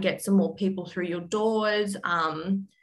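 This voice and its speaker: This woman speaks in an Australian accent. She keeps a moderate pace. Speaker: bookkeeping or small business finance expert. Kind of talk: podcast interview. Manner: hesitant, many fillers.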